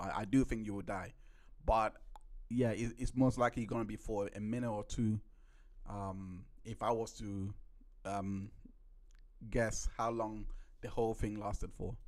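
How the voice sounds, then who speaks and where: At a moderate pace, a man talks with medium pitch. His intonation is monotone and flat. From UK. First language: not English. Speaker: trial recap podcast host. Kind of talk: live-stream commentary on trial footage. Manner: halting, many repeats and self-corrections.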